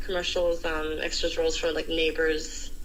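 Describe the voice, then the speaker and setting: A woman speaks at a moderate pace, with noticeable background noise and audible room echo. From Australia, Polish-speaking family. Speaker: sommelier, model and actor. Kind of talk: casual interview.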